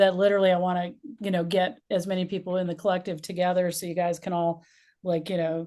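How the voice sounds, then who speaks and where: A woman with a normal speaking voice, medium in pitch, at a fairly quick pace against a quiet background. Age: 60s. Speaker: community leader and interviewer. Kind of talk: casual interview chat.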